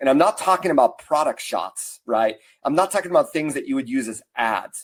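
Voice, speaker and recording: With an unremarkable speaking voice, a man talks at a fairly quick pace using lively intonation. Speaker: marketing consultant and speaker. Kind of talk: webinar presentation. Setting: online webinar.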